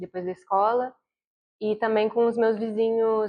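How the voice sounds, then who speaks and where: A woman speaks at a fairly high pitch and a moderate pace. Her intonation stays fairly even. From Brazil, Vitória (Espírito Santo). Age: 30s. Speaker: university student. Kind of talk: documentary interview.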